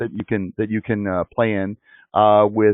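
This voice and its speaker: A man with a Chicago accent talks at a very fast pace. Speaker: webinar host. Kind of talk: live online interview.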